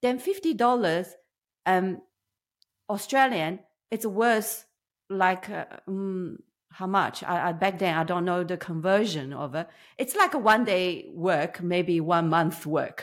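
A woman with a Chinese accent speaks at a very slow pace and medium pitch, with ordinary pitch variation. Long, frequent pauses fill a very clean recording with a silent background. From China. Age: 50s. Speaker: business owner. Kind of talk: interview storytelling. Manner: halting, many fillers.

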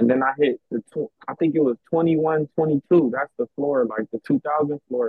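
A man's unremarkable speaking voice with an American accent, fairly high in pitch, with ordinary pitch variation, at a fairly slow pace with hardly any pauses. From South Central Los Angeles. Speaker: former gang member interviewee. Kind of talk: casual interview.

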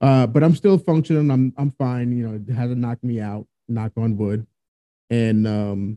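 A man's medium-pitched voice, dark and mellow in tone, with ordinary pitch variation, a moderate pace, and a dry, close sound with no echo. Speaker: podcast host. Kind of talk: casual chat. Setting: home recording at a table. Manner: hesitant, many fillers. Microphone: echo in the room.

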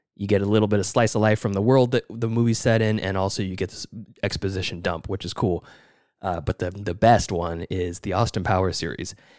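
A man with an ordinary speaking voice, fairly low in pitch, speaks at a fairly quick pace with fairly even intonation. The sound is dry and close with no echo, on a very clean recording with a silent background. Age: 30s. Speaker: film podcast host. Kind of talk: casual chat.

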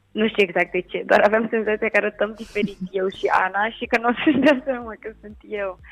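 A woman with fairly high pitch and an ordinary speaking voice talks at a moderate pace with hardly any pauses. Her intonation is fairly even, though her loudness swings a lot. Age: 20s. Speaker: actress. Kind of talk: interview.

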